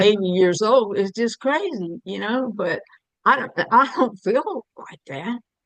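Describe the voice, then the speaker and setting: Dry and close with no echo, the voice carries a Southern US accent, lively intonation, big swings in loudness and a fairly slow pace. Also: woman, fairly high pitch for a woman. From US South, Alabama. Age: 70s. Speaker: jail ministry volunteer. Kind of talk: casual chat.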